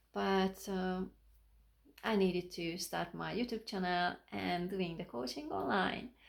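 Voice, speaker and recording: Woman with a fairly low pitch, ordinary pitch variation and a fairly slow pace, in a very clean recording with a silent background. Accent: non-native. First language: not English. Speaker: life coach and motivational speaker. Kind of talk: motivational talk to camera. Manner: halting, self-correcting.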